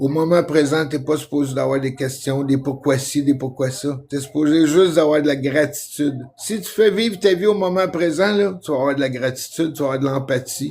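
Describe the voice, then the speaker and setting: A man with a Quebec accent talks at a moderate pace, with hardly any pauses. His pitch is fairly high with ordinary variation, and there is noticeable background noise. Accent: Québécois French. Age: 60s. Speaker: vlogger. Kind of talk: casual monologue. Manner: animated; halting.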